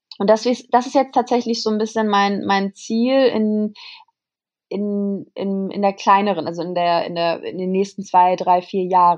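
Against a quiet background, a woman talks fairly slowly at a medium pitch with ordinary pitch variation. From Germany, Kassel. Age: 20s. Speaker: model and influencer. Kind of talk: casual interview. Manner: hesitant, many fillers.

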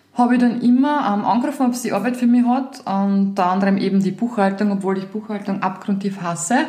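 A woman's medium-pitched voice with ordinary pitch variation, a fairly quick pace and hardly any pauses, over noticeable background noise and audible room echo. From Lower Austria, Weinviertel. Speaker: podcast host, entrepreneur. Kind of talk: casual chat.

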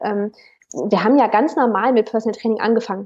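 Here is a woman with an unremarkable speaking voice and a fairly high pitch. She moves at a moderate pace with ordinary pitch variation. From Cologne, Germany. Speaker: personal trainer. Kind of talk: interview. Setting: remote call.

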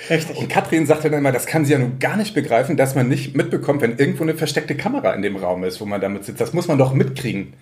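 Hardly pausing, a man talks at a very fast pace in a fairly high voice with lively intonation. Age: 30s. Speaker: local newspaper journalist. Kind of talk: casual chat.

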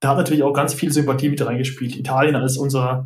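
The man's fairly high-pitched voice is somewhat breathy, and his intonation is monotone and flat. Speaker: football referee and doctor. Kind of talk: casual chat. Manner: halting.

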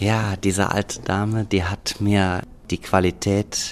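The voice moves at a very slow pace in a monotone, flat intonation. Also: man. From Hürth, Rhineland, Germany. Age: 40s. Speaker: organic herb farmer. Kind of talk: interview.

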